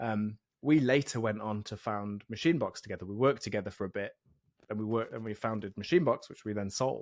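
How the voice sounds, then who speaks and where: A man talks at a very fast pace in an English accent, medium in pitch with ordinary pitch variation. The recording is very clean, with a silent background. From England, East Midlands (Mansfield near Nottingham). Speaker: software developer and podcast host. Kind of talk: casual interview chat.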